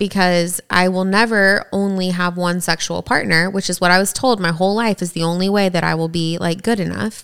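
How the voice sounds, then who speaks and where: Recorded very cleanly against a silent background, a woman with an American accent speaks at a moderate pace, with medium pitch and fairly even intonation. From East Tennessee. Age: 30s. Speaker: podcast co-host. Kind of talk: casual chat.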